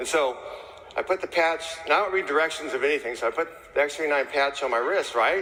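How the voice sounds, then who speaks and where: Fairly quick speech from a man in an American accent, ordinary pitch variation, noticeable background noise behind him. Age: 60s. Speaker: chimney sweep. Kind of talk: testimony. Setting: stage with audience. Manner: casual.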